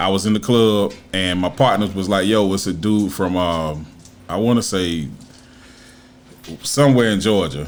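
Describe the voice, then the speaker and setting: Audible room echo surrounds a man whose fairly low voice, with ordinary pitch variation, moves at a moderate pace broken by long, frequent pauses. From South Carolina. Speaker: former rapper and videographer. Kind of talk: casual interview.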